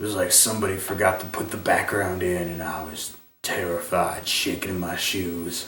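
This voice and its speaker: Using a put-on character voice, a man speaks very deep and low, raspy and monotone, at a moderate pace with hardly any pauses and audible echo. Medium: solo performance. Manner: rambling, crude, meandering.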